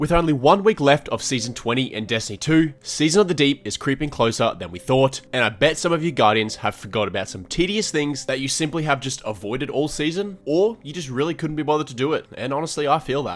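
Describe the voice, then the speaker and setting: The intonation is lively. Everything is delivered at a very fast pace. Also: man, fairly high pitch for a man, hardly any pauses, big swings in loudness. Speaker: gaming content creator. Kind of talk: gaming guide narration.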